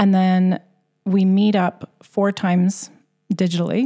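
A woman's fairly low, somewhat breathy voice with a Canadian accent, a dark, mellow tone, fairly even intonation and a dry, close sound with no echo. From Canada. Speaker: elementary school teacher and mindfulness instructor. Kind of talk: interview.

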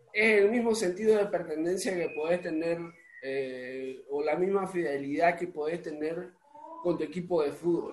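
This man has a high voice and talks at a fairly slow pace. His pitch varies in an ordinary way, with noticeable background noise. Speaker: podcast host and musician. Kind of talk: casual interview chat. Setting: home recording.

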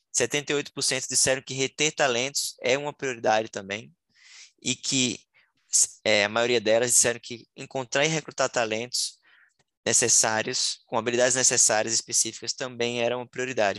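The tone is bright and sharp, with fairly even intonation. The sound is dry and close with no echo, over a quiet background. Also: man, medium pitch for a man, moderate pace. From Sergipe, Northeast Brazil. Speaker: startup founder, marketer. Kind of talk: interview.

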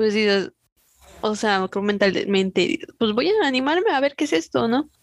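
A woman with a plain, everyday voice at a medium pitch and moderate pace, the sound dry and close with no echo. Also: quiet background. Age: 20s. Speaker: podcast co-host. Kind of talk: casual chat.

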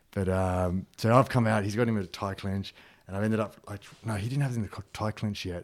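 Speaking very fast with an Australian accent, a man with a fairly low pitch keeps his intonation fairly even on a very clean recording with a silent background. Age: 30s. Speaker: security trainer and martial artist. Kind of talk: casual chat.

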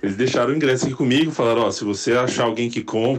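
A man talks very fast, his intonation fairly even throughout. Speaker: podcast host. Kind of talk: recorded voice memo.

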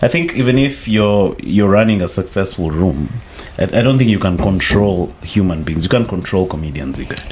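Over noticeable background noise, a man with a fairly low pitch speaks at a moderate pace with lively intonation. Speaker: podcast host. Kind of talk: casual podcast chat.

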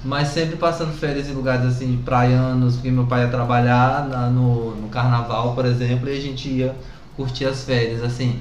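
At a moderate pace, a man speaks at a medium pitch with monotone, flat intonation. Audible room echo and noticeable background noise fill the recording. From Brazil, southern Bahia. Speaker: artist and teacher. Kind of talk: casual chat.

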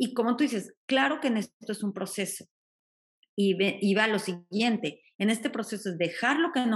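With a plain, everyday voice, a woman speaks at medium pitch and a fairly slow pace, her intonation lively over a quiet background. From Mexico. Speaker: life coach. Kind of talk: casual chat.

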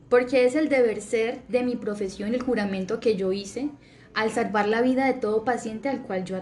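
An ordinary speaking voice from a woman, fairly high in pitch, at a moderate pace, with fairly even intonation. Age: 20s. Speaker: surgeon. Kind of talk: testimony.

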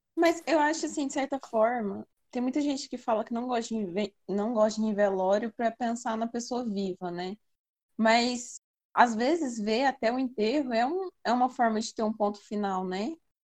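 A woman with a normal speaking voice talks at a moderate pace and fairly high pitch with ordinary pitch variation, in a dry, close sound with no echo. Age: 20s. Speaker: podcast co-host, student. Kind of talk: casual chat.

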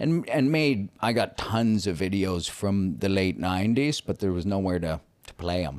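In a Canadian accent, a man talks at a moderate pace with an ordinary speaking voice, fairly low pitch and lively intonation. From Canada. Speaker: YouTuber. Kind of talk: casual interview chat.

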